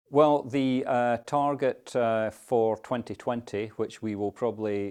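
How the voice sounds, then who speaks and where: Against a quiet background, a man speaks with a Scottish accent at a fairly slow pace. His tone is dark and mellow, with fairly even intonation. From Scotland. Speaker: climate policy adviser. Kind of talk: interview. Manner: conversational, with fillers.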